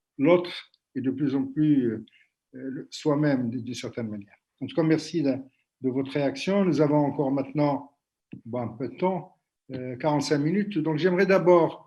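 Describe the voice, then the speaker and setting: Pausing long and often, a man speaks at a moderate pace in a fairly high pitch with a dark, mellow tone, ordinary pitch variation and big swings in loudness. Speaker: workshop moderator. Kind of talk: panel discussion. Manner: hesitant, many fillers.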